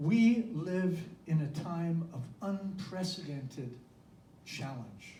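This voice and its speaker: A man's high-pitched, very slow speech with lively intonation, audible room echo and noticeable background noise. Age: 70s. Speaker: minister. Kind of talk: sermon.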